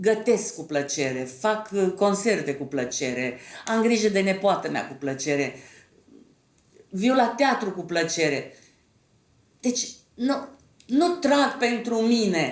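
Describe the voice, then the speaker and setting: A woman speaks at medium pitch with vocal fry, her pitch swinging very widely. She talks at a very slow pace with long, frequent pauses, and the room echo is audible. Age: 70s. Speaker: actress and theatre director. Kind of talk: interview.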